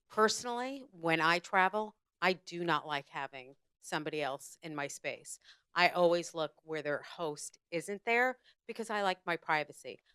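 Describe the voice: A woman speaks at a fairly slow pace in a fairly low pitch, her tone clear, smooth, bright and sharp, with lively intonation and a dry, close sound with no echo.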